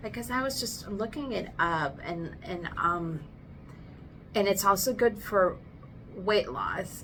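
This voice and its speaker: Speaking at a very slow pace with long, frequent pauses, a woman of medium pitch uses lively intonation. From Philippines. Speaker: podcast host. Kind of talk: casual chat. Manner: loud.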